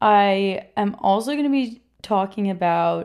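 A woman speaks with a New York accent. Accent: New York area American. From New York (Queens, Rockland County). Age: 20s. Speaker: podcast host. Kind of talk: casual solo chat. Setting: home recording setup. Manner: animated.

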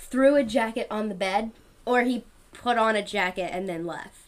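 A woman with an American accent and a fairly high pitch speaks at a fairly slow pace with ordinary pitch variation. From Louisiana. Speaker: podcast co-host, TV show recapper. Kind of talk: casual chat, podcast recap.

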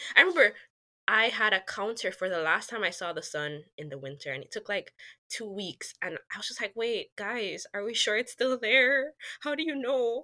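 A woman's fairly high, bright, sharp voice with vocal fry, very wide pitch swings and a moderate pace. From Jamaica. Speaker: mechanical engineer. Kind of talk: casual chat.

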